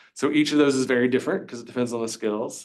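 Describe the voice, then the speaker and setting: This man has an American accent. Audible room echo surrounds his voice. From US South, Virginia (Covington). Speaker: university lecturer. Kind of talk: lecture. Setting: classroom. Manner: fast.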